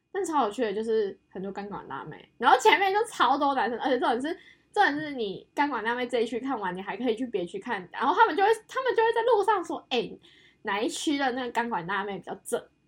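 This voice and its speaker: A woman with a Taiwanese accent speaks at a very fast pace in a high voice. Her tone is animated, with very wide pitch swings. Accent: Taiwanese Mandarin. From Taiwan, Yunlin (Huwei). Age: 20s. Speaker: podcast co-host, design student background. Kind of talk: casual chat. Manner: animated, laughing often.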